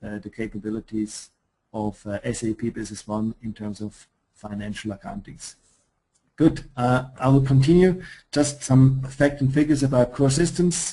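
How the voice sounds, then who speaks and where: A man's medium-pitched, somewhat breathy voice with a dark, mellow tone at a moderate pace. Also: ordinary pitch variation, big swings in loudness. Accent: Swiss. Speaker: software company presenter. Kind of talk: webinar product presentation. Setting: online webinar. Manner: hesitant, many fillers.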